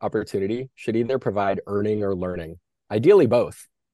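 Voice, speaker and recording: A man with an American accent uses a plain, everyday voice at medium pitch with ordinary pitch variation. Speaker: franchise company CEO. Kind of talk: interview.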